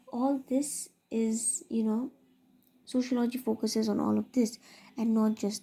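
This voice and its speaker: A woman's dark, mellow, somewhat breathy voice in a very clean recording with a silent background. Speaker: teacher. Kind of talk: lecture. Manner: fast.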